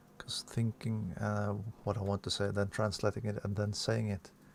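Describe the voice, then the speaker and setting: Fairly low, somewhat breathy male voice with fairly even intonation. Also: long, frequent pauses. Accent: non-native. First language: not English. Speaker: sim racing streamer. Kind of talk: live gameplay commentary. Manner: halting, self-correcting.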